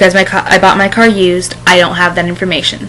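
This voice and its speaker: A woman talks at a moderate pace. Noticeable background noise can be heard behind her. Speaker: vlogger. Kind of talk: casual video blog. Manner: halting, self-correcting.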